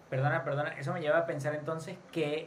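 Speaking at a fairly quick pace, a man with a fairly high pitch is heard amid audible room echo and noticeable background noise. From Venezuela. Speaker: podcast host. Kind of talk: interview.

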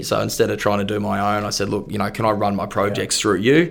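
Very fast delivery in an Australian accent. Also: man. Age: 30s. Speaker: real estate agent. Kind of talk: casual chat.

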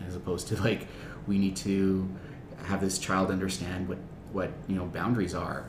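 A man with a very deep, low pitch talks at a moderate pace in a monotone, flat intonation, leaving long, frequent pauses. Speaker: substitute teacher. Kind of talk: casual chat.

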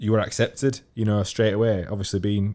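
A man's dark, mellow tone in a Yorkshire accent, fairly quick in pace, on a very clean recording with a silent background. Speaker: podcast host. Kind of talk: casual chat.

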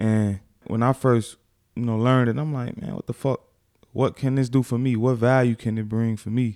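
A man with an American accent speaks at a moderate pace and medium pitch, his tone dark and mellow, his intonation fairly even. The sound is dry and close with no echo, in a very clean recording with a silent background. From Chicago, Back of the Yards. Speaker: youth podcast co-host. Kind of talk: casual chat.

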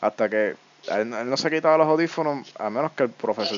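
Over noticeable background noise, a man talks at a very fast pace. His pitch varies in an ordinary way. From Puerto Rico, Yauco. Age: 20s. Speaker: podcast host. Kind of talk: casual chat. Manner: stammering; casual, slangy.

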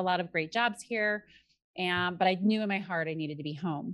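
A woman with an unremarkable speaking voice, medium in pitch, at a fairly quick pace. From Colorado. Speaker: company CEO. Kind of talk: interview.

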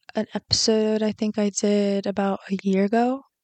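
At a fairly slow pace, a woman speaks at a medium pitch with monotone, flat intonation. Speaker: podcast host. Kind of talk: personal monologue. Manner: halting.

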